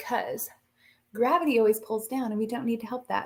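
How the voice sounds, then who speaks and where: With an animated tone and ordinary pitch variation, a woman talks very fast in a somewhat breathy, fairly high voice. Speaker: skincare sales consultant. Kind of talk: live product demo. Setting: live stream.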